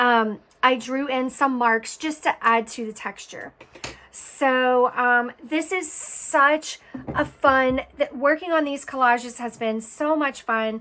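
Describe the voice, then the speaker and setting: A raised, projected voice speaks at a very slow pace with ordinary pitch variation. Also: woman, high pitch for a woman. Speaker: art tutorial creator. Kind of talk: tutorial. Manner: casual, chatty.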